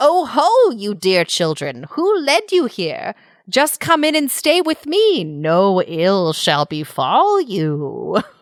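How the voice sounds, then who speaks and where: In a put-on character voice pitched fairly high, the speaker moves at a very slow pace over a very clean recording with a silent background. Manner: sweetly coaxing, deceptive.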